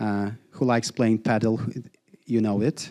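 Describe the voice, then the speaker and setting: A man with a Polish accent and a medium pitch. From Poland. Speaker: founder giving workshop talk. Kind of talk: live workshop presentation. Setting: live event with audience. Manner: casual, interactive with audience.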